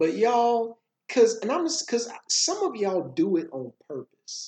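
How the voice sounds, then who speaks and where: The voice has an American accent and a dark, mellow tone. Its pitch swings very widely. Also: man. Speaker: podcast host and motivational speaker. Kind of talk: casual conversation podcast discussion.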